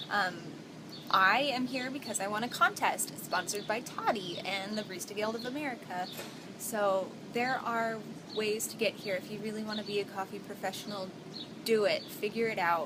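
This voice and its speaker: Background noise is noticeable behind a woman with a fairly high pitch. Her pitch varies in an ordinary way. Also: moderate pace. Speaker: barista and vlogger. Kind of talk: vlog.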